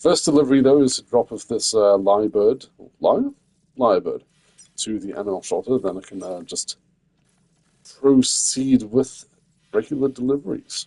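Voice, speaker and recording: A man with a medium pitch and a dark, mellow tone speaks at a moderate pace with ordinary pitch variation, long, frequent pauses and big swings in loudness, in a dry, close sound with no echo. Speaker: gaming streamer. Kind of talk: live gameplay stream chat. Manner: quiet, hesitant with many fillers.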